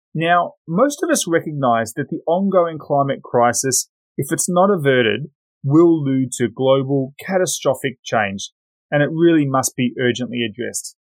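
Speaking with an Australian accent, a man's voice rides fairly high in pitch. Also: ordinary pitch variation, moderate pace. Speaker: podcast host, risk specialist. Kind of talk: interview.

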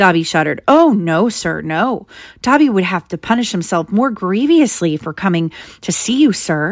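The clip is plain reading aloud. It is read plainly, aloud.

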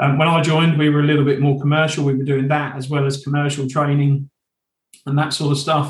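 Somewhat breathy and with an East Anglian accent, the voice rushes at a very fast pace in monotone, flat intonation. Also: man, fairly high pitch for a man. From eastern England, Suffolk. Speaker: training company sales director. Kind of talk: interview.

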